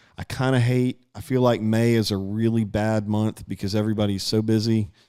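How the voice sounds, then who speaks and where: A man with an Alabama accent speaks at a fairly low pitch in a dark, mellow tone. His delivery is fairly quick, monotone and flat, with very even loudness. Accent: Southern US (Alabama). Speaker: local political interviewer. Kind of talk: casual interview livestream. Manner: halting, many fillers.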